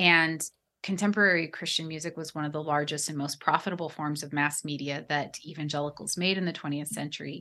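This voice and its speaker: In an American accent, a woman with a very deep, low pitch speaks at a very fast pace, her bright, sharp tone holding a fairly even intonation. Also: quiet background. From US Pacific Northwest, near Portland. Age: 40s. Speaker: religion scholar and author. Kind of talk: interview conversation.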